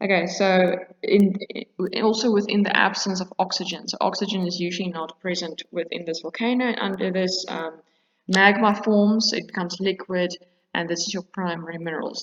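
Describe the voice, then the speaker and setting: A woman talks at a moderate pace in a medium pitch with fairly even intonation. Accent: South African. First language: Afrikaans. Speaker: teacher. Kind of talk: lecture. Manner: hesitant, many fillers.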